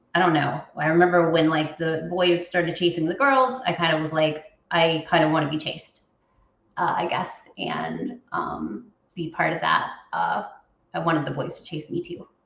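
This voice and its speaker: A woman speaks at a moderate pace in a fairly low pitch with vocal fry and ordinary pitch variation. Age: 40s. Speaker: interviewee sharing personal transition story. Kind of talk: interview. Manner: halting, many fillers.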